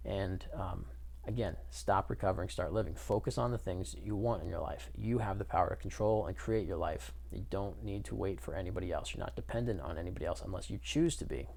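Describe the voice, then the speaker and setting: With vocal fry and very wide pitch swings, a man talks at a fairly quick pace amid audible room echo. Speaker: addiction coach / vlogger. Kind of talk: casual opinion monologue to camera. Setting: self-recorded video, unedited. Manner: slurs words together; hesitant, many fillers.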